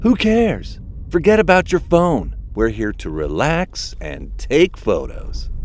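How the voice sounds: A man puts on a character voice, fairly high in pitch with vocal fry, talking at a slow pace with big pitch swings.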